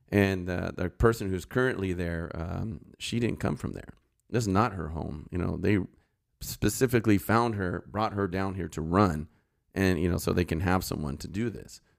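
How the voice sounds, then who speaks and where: Very deep, low male voice with a Californian accent, ordinary pitch variation and a moderate pace, in a very clean recording with a silent background. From Los Angeles, San Fernando Valley. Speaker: retired sheriff's deputy and political candidate. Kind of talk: casual interview.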